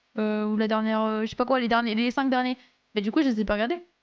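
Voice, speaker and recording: A woman speaks at a fairly high pitch. Her tone is animated. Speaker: live streamer. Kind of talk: casual chat reading live chat. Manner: animated, halting.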